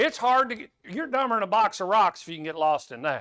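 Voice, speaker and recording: Raised and projected, a bright, sharp voice with an American accent moves at a fairly quick pace through very wide pitch swings. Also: man. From Kansas, US Midwest. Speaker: preacher. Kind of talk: sermon. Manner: conversational, folksy.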